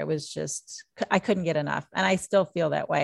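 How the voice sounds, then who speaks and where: A woman's very deep, low voice in an American accent. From southern Indiana. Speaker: mixologist and author. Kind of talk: interview.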